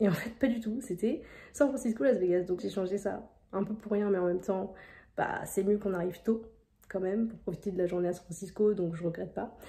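A woman speaks at a fairly quick pace in a somewhat breathy voice with a dark, mellow tone and ordinary pitch variation. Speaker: vlogger. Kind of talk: casual vlog chat. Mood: amused, self-mocking. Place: home room. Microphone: phone near.

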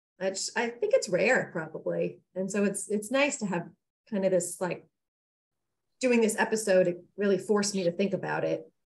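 With vocal fry and fairly even intonation, a woman speaks at a moderate pace. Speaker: podcast co-host. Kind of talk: casual chat. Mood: warm, earnest self-reflection. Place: home room. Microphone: video call.

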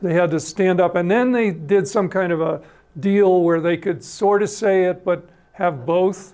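Against a quiet background, a man with a high pitch and a dark, mellow tone speaks at a fairly slow pace, his intonation fairly even and his loudness very even. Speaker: civil air patrol member and speaker. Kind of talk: history talk with audience questions. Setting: stage with audience. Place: hall.

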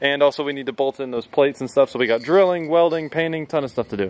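Against light background noise, a man talks at a very fast pace with ordinary pitch variation in a dry sound with no echo. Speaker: vlogger building a go-kart. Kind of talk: casual vlog chat. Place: street. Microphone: phone near.

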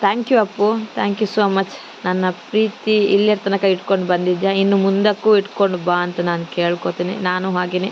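Noticeable background noise sits under a woman speaking with monotone, flat intonation. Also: medium pitch for a woman. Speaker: vlogger. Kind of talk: vlog voice-over narration. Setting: outdoors.

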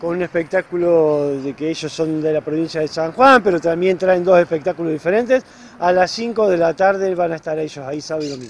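Against light background noise, a high-pitched man speaks at a fairly quick pace, the sound dry with no echo. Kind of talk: interview answer. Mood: friendly, enthusiastic. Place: street. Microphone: handheld.

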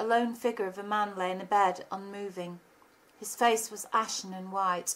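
The voice heard here is a natural reading voice.

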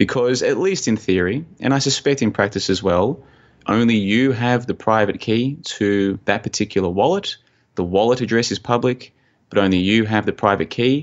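A man speaks with an Australian accent at a medium pitch. His loudness stays very even. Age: 30s. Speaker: conspiracy researcher and blogger. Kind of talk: interview conversation.

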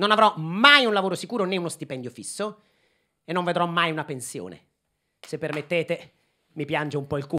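Over a quiet background, the speaker's bright, sharp, animated tone moves at a fairly quick pace with lively intonation. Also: man, high pitch for a man. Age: 30s. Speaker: comedian. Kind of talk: stand-up. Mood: ironic, mock-nostalgic. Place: stage. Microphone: handheld.

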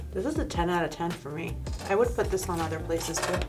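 A woman is speaking. Music plays behind her. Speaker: beauty vlogger. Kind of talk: casual product review chat. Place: studio.

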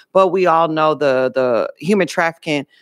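The pitch varies in an ordinary way. The sound is dry with no echo, and the background is quiet. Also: woman. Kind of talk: committee testimony. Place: hall. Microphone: podium.

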